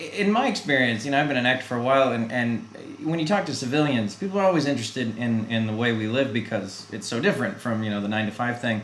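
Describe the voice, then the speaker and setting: A man's very fast, medium-pitched speech with lively intonation and hardly any pauses, over noticeable background noise. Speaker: podcast interviewer. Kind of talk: casual interview.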